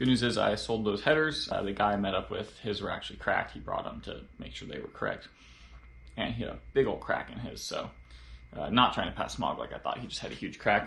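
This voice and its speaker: Audible room echo surrounds a man talking at a very fast pace with big swings in loudness. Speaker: car hobbyist vlogger. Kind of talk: casual vlog narration. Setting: home garage. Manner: whispering.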